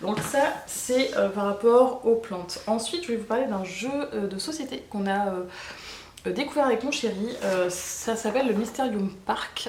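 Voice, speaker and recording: Noticeable background noise sits behind a woman speaking at a fairly slow pace. Her pitch is fairly high, with ordinary pitch variation. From Bordeaux, France. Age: 30s. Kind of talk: casual talk to camera. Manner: casual, hesitant with many fillers.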